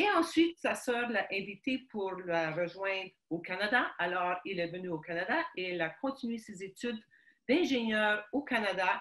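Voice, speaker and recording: Speaking at a fairly slow pace, a woman uses a medium pitch and lively intonation. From Quebec, Montreal (Ukrainian family). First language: Ukrainian (speaking French). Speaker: guest sharing life story. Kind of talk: interview testimony. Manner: halting, many hesitations.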